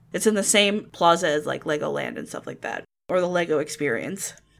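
A woman with an American accent talks at a fairly low pitch with vocal fry. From Ocala, Florida. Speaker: podcast co-host. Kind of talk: casual chat. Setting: video call.

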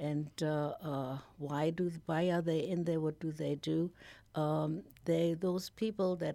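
A woman speaks at a fairly slow pace in a German accent, her very deep, low voice dark and mellow, with ordinary rise and fall in pitch. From Germany. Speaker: nonprofit founder. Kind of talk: radio interview. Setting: studio.

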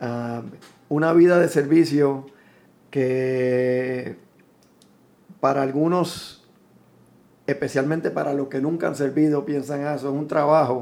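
With a Puerto Rican accent, a man speaks at a very slow pace in a fairly high pitch, his intonation fairly even and his pauses long and frequent. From Puerto Rico. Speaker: musician. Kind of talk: interview. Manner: halting, frequent repetitions.

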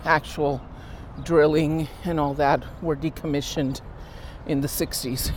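Against noticeable background noise, a woman speaks very slowly in a very deep, low pitch with monotone, flat intonation. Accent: American. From Los Angeles. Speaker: community activist. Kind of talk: casual chat.

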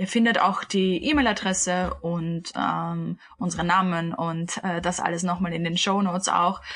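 A woman's ordinary speaking voice, fairly low in pitch, at a fairly slow pace with hardly any pauses. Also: fairly even intonation. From Austria, Vienna. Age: 20s. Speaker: podcast co-host, yoga teacher. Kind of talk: casual chat.

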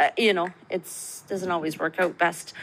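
Over noticeable background noise, a woman with a Canadian accent speaks at a moderate pace and a fairly low pitch. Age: 40s. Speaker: registered nurse. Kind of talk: recorded voice message. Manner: hesitant with fillers.

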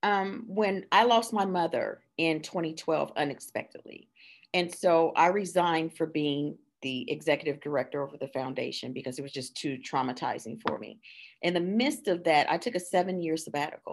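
Her voice is fairly low for a woman, with lively intonation and a moderate pace. It is a normal speaking voice in a very clean recording with a silent background. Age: 50s. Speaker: children's book author. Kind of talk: casual interview chat.

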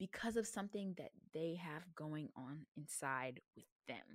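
A woman with an American accent talks at a fairly slow pace with very wide pitch swings, recorded very cleanly against a silent background in a dry, close sound with no echo. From US South. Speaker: podcast host and college student. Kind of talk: reading a speech aloud; casual monologue.

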